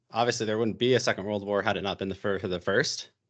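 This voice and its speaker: Very fast speech in an American accent over a quiet background. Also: man. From US, Arizona. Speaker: history YouTuber. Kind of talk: casual chat. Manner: casual, filler-heavy.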